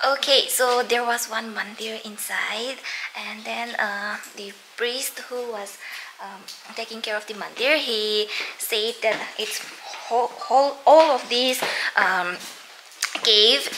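A woman at a very slow pace, with big swings in loudness, long, frequent pauses and noticeable background noise. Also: ordinary pitch variation. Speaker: travel vlogger. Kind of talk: casual vlog commentary. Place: tunnel cave. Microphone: phone near.

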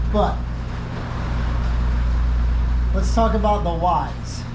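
Monotone, flat intonation comes through over noticeable background noise. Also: man. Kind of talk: tutorial. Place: garage. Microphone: phone near.

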